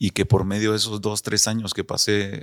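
Recorded very cleanly against a silent background, a man with a Guatemalan accent and fairly low pitch talks at a moderate pace in a dry, close sound with no echo. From Guatemala City, zona 6. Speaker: retired footballer. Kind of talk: interview.

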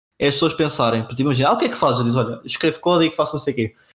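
A man is speaking. His intonation is lively. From Portugal, Castelo Branco. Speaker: software engineer, podcast co-host. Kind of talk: casual chat.

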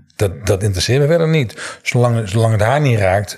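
Noticeable background noise behind a man speaking at a moderate pace, medium in pitch with ordinary variation. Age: 60s. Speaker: NLP trainer. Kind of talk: interview.

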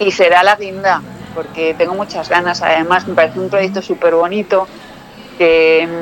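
A woman talks at a moderate pace and medium pitch, her intonation fairly even. Noticeable background noise runs behind her. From Spain, Toledo province (Talavera de la Reina area). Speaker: actress and former model. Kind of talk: casual interview chat.

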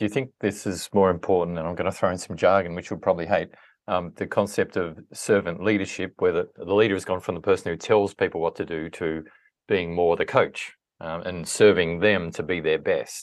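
A man speaks fairly quickly, and the background is quiet. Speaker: podcast host. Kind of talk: interview. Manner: calm.

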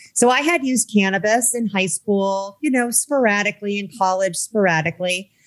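A woman with an American accent talks fairly quickly at a medium pitch in a normal speaking voice. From US Midwest. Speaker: cannabis activist and entrepreneur. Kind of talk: interview.

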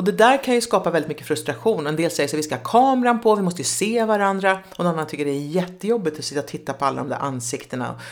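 A woman speaks very fast with hardly any pauses, her fairly low voice moving in very wide pitch swings. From Sweden, Nyköping. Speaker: relationship expert and public speaker. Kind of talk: casual interview chat.

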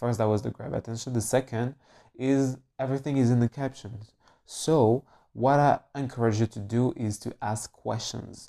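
In a French accent, a man speaks at a medium pitch with a dark, mellow tone, fairly even intonation and a moderate pace. The sound is dry and close with no echo, on a very clean recording with a silent background. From France. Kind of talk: casual solo podcast, coaching-style talk. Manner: informal, laughs often, rambling.

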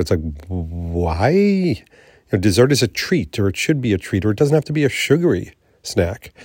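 A man speaks at a fairly quick pace in a fairly low, somewhat breathy voice, his pitch swinging very widely. The recording is very clean, with a silent background. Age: 50s. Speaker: podcast host. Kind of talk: solo vlog monologue.

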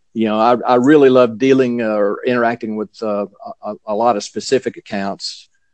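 With a Southern US accent, a man speaks at a fairly quick pace in a medium pitch and a fairly even intonation. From US South. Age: 50s. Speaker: Zen teacher. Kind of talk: casual chat.

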